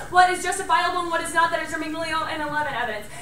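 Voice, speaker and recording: With monotone, flat intonation, a raised, projected voice carries through audible room echo and light background noise. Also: woman. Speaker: college debater. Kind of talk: fast competitive debate speech. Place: classroom. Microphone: camera far.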